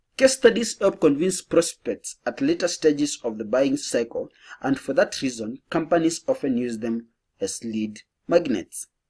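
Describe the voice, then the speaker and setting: A man speaks at a moderate pace with a fairly high pitch. His voice makes very wide pitch swings. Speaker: marketing educator. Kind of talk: tutorial.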